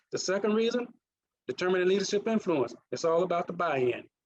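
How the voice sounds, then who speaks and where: A man with a Mississippi accent speaks at a fairly quick pace in a high voice, his pitch moving in an ordinary way. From US South, Mississippi. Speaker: leadership coach and former naval officer. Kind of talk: presentation.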